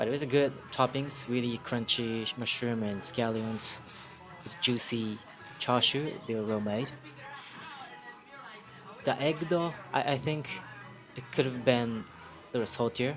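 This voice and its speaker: Over music in the background, a man with a Japanese accent speaks at a medium pitch and a fairly slow pace, with long, frequent pauses, big swings in loudness and ordinary pitch variation. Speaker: food reviewer. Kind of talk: casual food review to camera. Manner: hesitant, many fillers.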